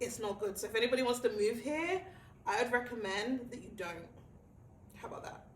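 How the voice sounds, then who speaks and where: Against noticeable background noise, a woman talks in an animated tone with ordinary pitch variation. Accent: British. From England. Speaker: talk show host. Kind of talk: casual chat.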